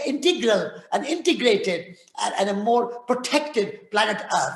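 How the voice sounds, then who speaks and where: Over noticeable background noise, a man with an extremely high pitch speaks at a moderate pace with lively intonation. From India (Rajasthan). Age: 80s+. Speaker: peace activist and author. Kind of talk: talk and audience Q&A. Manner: halting with repetitions.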